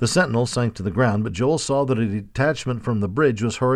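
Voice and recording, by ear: Someone is reading aloud in a natural voice. The pitch variation is ordinary.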